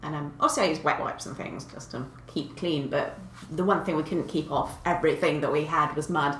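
A woman with a southern English accent speaks at a fairly quick pace in a very deep, low pitch with fairly even intonation. Her loudness swings widely, and there is audible room echo along with noticeable background noise. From Kent, south of England. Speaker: paleontologist. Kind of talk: casual chat.

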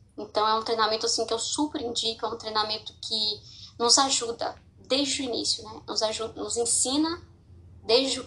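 This is a woman speaking. Her pace is moderate. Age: 20s. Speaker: podcaster sharing personal mental health story. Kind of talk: personal testimony. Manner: informal, hesitant with fillers.

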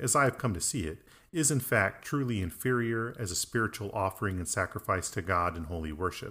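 A man talks fairly quickly in a plain, everyday voice. His pitch is fairly low and his intonation lively. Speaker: Anglican priest. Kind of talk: casual conversation. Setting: remote call.

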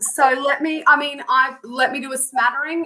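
The speaker is a woman. She has a rural Australian accent. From southwest Queensland, Australia. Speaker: consultant and rural business advocate. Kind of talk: casual interview chat. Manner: animated.

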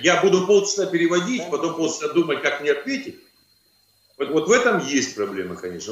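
A man's voice with audible room echo. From Kazakhstan. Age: 50s. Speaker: trade union official. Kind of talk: video call interview. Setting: video call. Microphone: poor audio, hard to hear.

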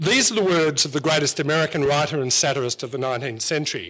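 A man with an Australian accent at a fairly quick pace, with ordinary pitch variation. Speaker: historian. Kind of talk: storytelling talk. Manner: animated.

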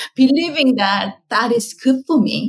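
A woman is speaking. She has a Korean accent. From South Korea. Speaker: skincare company founder and scientist. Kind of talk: interview conversation. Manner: halting, with fillers.

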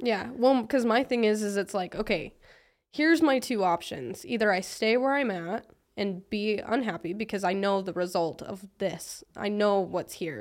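A woman with an unremarkable speaking voice talks at medium pitch and a moderate pace, with lively intonation. The recording is very clean, with a silent background. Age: 20s. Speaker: motivational content creator. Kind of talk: casual chat.

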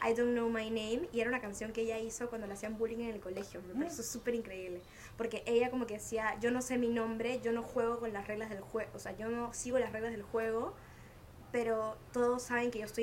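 Words come at a very fast pace with monotone, flat intonation. Audible room echo surrounds the voice. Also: woman. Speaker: podcast host. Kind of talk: casual chat. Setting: outdoor home terrace.

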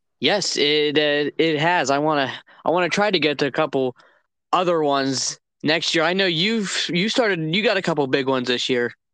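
A man talks at a moderate pace with a fairly high pitch, a bright, sharp tone and ordinary pitch variation. The background is quiet. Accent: Midwestern American. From Northeast Ohio. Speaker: college student and hunter, co-host. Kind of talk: casual chat. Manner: halting, many filler words.

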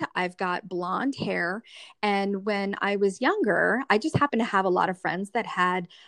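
This woman has an unremarkable speaking voice at medium pitch, talking at a fairly slow pace with ordinary pitch variation in a dry, close sound with no echo. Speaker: skincare consultant. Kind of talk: casual interview.

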